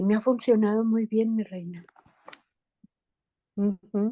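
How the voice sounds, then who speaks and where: Her tone is dark and mellow, at a fairly slow pace. The woman's sound is dry and close, with no echo. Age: 60s. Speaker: family member of person in addiction treatment. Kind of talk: group session participation.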